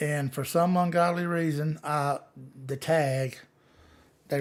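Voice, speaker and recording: Fairly high male voice on a very clean recording with a silent background. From US South, Gulf Coast Alabama. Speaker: livestreamer, law enforcement officer. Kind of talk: live Q&A chat. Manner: usually soft-spoken, can get loud; plain, casual, halting.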